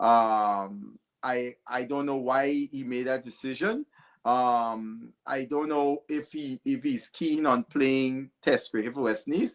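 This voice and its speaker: In a very clean recording with a silent background and a dry, close sound with no echo, a man with a Guyanese accent speaks very slowly at a medium pitch with ordinary pitch variation. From Guyana. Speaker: cricket pundit. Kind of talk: panel discussion. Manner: halting, repeats words.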